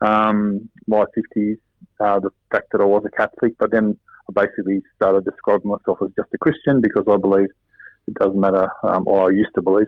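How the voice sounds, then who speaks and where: Fairly low male voice with an Australian accent, monotone, flat intonation and a fairly quick pace. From Sydney, Australia. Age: 60s. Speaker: interview guest. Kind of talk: casual interview chat. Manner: halting, many fillers.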